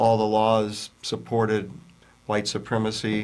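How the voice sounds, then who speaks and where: This man has an American accent. His pitch is medium. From US South, Virginia. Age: 60s. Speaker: author and anti-prejudice educator. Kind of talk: interview.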